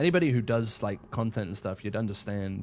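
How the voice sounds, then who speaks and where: A man speaks loudly at a moderate pace. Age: 20s. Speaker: gaming live streamer. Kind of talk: casual live stream chat while gaming. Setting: live stream. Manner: loud on stream.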